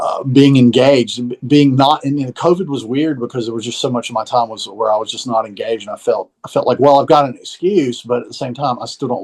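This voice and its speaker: A man with a slight Southern US accent speaks at a fairly quick pace with hardly any pauses, ordinary pitch variation, and big swings in loudness. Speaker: musician and recording teacher. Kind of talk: casual chat.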